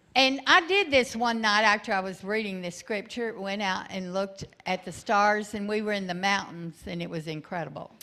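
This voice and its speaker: At a fairly slow pace and with hardly any pauses, a woman speaks at a medium pitch with ordinary pitch variation. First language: English (speaking French). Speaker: guest preacher. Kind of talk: sermon with interpreter.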